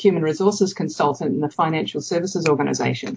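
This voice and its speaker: A woman speaks with a New Zealand accent. Her pitch is fairly low. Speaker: evaluation consultant. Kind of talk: interview. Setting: remote call.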